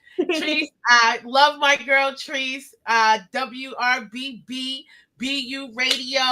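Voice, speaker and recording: A woman's voice is high, with a bright, sharp tone. She sounds animated. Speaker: interview show host. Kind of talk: casual interview. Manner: loud.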